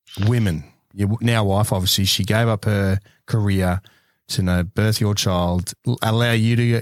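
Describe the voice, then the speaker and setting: In an Australian accent, a man talks at a moderate pace with a fairly low pitch and monotone, flat intonation on a very clean recording with a silent background. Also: very even loudness, dry, close sound with no echo. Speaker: podcast host, army veteran. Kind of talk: casual interview chat. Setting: studio.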